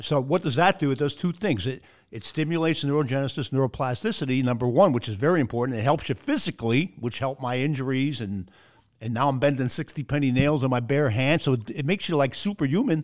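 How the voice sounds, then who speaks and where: This man talks very fast in an animated, enthusiastic tone, his voice fairly high. His pitch rises and falls in an ordinary way. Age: 60s. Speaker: podcast host and speaker. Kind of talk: casual interview chat. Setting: video call.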